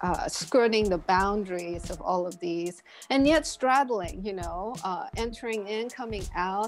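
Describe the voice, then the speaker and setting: Over music in the background, a woman with a Korean accent and a medium-pitched voice speaks at a fairly slow pace with lively intonation. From Kenya (Nairobi), born in Seoul, Korea. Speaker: visual artist. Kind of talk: interview. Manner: hesitant, many fillers.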